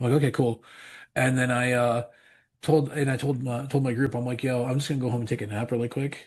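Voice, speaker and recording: A man at medium pitch talks at a very fast pace, somewhat breathy. His intonation is monotone and flat over a quiet background. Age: 40s. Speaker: pastor and metal musician. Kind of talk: casual chat. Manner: halting, many repeats and fillers.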